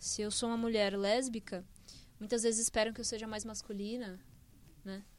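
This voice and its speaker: A woman talks in a flat, monotone way, leaving long and frequent pauses. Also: fairly high pitch for a woman, moderate pace. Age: 20s. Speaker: software developer. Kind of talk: casual chat. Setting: studio.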